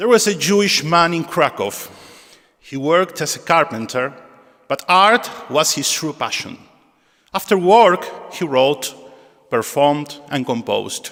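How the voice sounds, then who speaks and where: Speaking at a fairly slow pace with long, frequent pauses, a man uses a high voice. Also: lively intonation. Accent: Argentine. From Argentina. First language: Spanish. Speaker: synagogue musician and presenter. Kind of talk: spoken introduction at a concert. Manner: halting.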